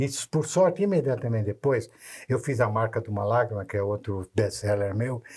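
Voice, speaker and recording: Somewhat breathy, a man of medium pitch talks at a moderate pace with ordinary pitch variation on a very clean recording with a silent background. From Brazil, Santos (São Paulo state). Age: 80s+. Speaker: author, children's writer. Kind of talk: casual interview chat. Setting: videocast studio. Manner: halting, many restarts and repetitions.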